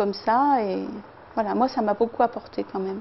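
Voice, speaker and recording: A woman with ordinary pitch variation. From France, Lyon region. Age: 60s. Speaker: weight-loss program participant. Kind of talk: testimony. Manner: hesitant, many filler sounds.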